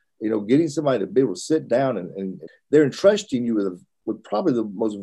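Speaking very fast with an American accent, a man uses lively intonation, a medium pitch and a dark, mellow tone. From US South. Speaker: preacher, church minister. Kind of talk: interview, guest answering questions.

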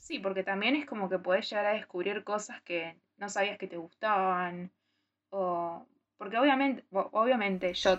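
A woman with a normal speaking voice talks at a fairly slow pace, medium in pitch, with ordinary pitch variation. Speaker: podcast co-host. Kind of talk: casual chat.

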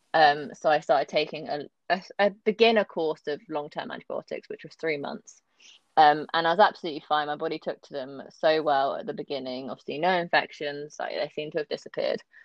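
A woman with a very deep, low pitch talks at a fairly quick pace. Her loudness swings widely, while her pitch variation is ordinary. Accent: southern English. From London area, England. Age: 20s. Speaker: kidney transplant patient. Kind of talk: casual interview.

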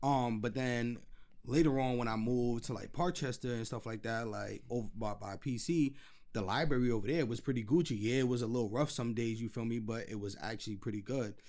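A man speaks fairly quickly in a New York accent. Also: medium pitch for a man, ordinary pitch variation. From New York City, the Bronx. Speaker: podcast host. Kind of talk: casual chat. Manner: animated.

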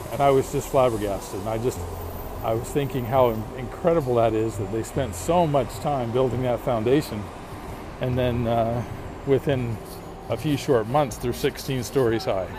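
A man speaks at a moderate pace with ordinary pitch variation and long, frequent pauses. Noticeable background noise runs underneath. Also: medium pitch for a man. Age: 50s. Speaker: podcast host. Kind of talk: casual monologue. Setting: outdoors walking in a city. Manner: hesitant, with frequent fillers.

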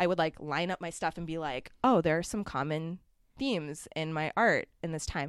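Speaking with a Canadian accent, a woman has an ordinary speaking voice at a fairly low pitch with ordinary pitch variation and a moderate pace. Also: very clean recording, silent background. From Ontario, Canada (Mississauga). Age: 20s. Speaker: muralist artist. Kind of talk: casual interview chat.

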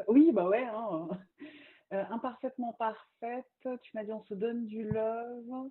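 A woman at a fairly high pitch and a very slow pace. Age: 30s. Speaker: magazine founder and communication agency owner. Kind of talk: casual interview. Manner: lively.

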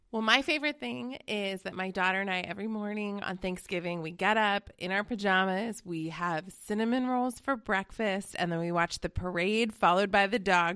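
A woman with an American accent and a bright, sharp tone shows ordinary pitch variation over a quiet background. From Colorado. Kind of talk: casual chat.

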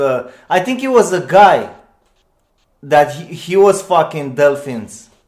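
A man speaks at a very slow pace. His pitch is fairly high. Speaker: podcast host. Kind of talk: casual chat.

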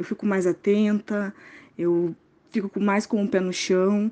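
The woman's tone is dark and mellow, at a medium pitch with fairly even intonation. The background is quiet. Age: 20s. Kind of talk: interview testimony.

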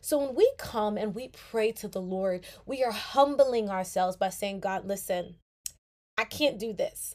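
At a fairly slow pace, a woman talks in a fairly high pitch with an animated tone and ordinary pitch variation. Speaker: podcast host. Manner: excited, warm, earnest; fervent, animated, urgent, preaching-like tone.

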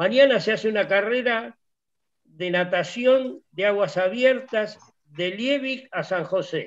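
Against a quiet background, the speaker goes at a very slow pace with ordinary pitch variation. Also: man, high pitch for a man. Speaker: lawyer and sailing club founder. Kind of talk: casual chat.

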